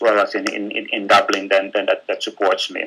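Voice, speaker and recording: A man speaks with a Finnish accent. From Finland. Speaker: business executive. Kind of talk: webinar presentation. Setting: online webinar. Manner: halting, many fillers and repetitions.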